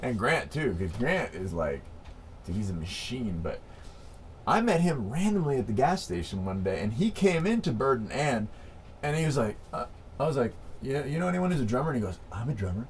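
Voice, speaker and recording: Speaking at a medium pitch with very wide pitch swings, a man talks at a fairly quick pace amid audible room echo. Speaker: band member, rapper and singer. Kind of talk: interview. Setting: quiet room, on camera. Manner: animated.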